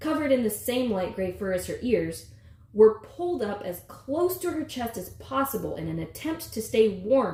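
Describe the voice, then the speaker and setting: A woman's fairly high voice with a dark, mellow tone, vocal fry and lively intonation. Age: 30s. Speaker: author. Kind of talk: reading aloud.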